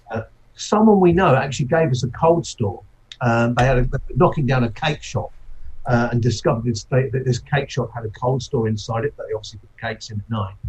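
A man talks very fast in a medium pitch, somewhat breathy, with ordinary pitch variation. His loudness swings widely. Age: 50s. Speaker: brewery owner. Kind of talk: interview.

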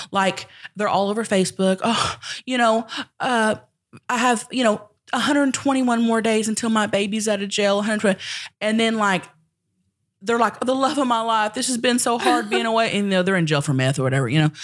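Talking at a fairly quick pace, a woman with a Southern US accent uses a fairly high pitch, an animated tone and lively intonation. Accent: Southern US (Oklahoma). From Oklahoma (rural southern Oklahoma). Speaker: comedian and internet personality. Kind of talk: casual chat.

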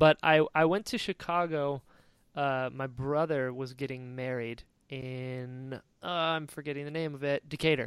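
A man with an American accent at a fairly high pitch and a fairly slow pace, in a very clean recording with a silent background. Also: dry, close sound with no echo. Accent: Southern accent that comes out when excited. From North Carolina. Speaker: podcast host. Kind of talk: casual interview chat. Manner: animated.

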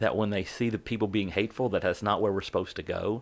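A plain, everyday voice belongs to a man with an American accent, fairly low in pitch and fairly even in intonation, on a very clean recording with a silent background. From Central West Virginia. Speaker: pastor. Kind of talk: casual interview conversation.

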